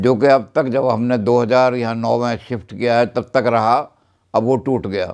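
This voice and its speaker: With a monotone, flat intonation, a man at a medium pitch talks at a moderate pace over a quiet background. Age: 90s. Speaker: retired professor. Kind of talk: birthday message.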